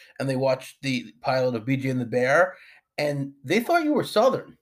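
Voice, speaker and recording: A man speaks in a normal speaking voice at a moderate pace, his pitch fairly high with ordinary variation. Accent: American. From Long Island, New York. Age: 40s. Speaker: podcast host. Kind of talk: casual interview.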